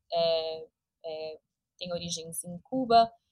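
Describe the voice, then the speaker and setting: Here is a woman with a São Paulo accent. Her pitch is fairly low and her intonation fairly even. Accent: Brazilian Portuguese, São Paulo. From Brazil, São Paulo. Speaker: entrepreneur and business coach. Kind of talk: interview.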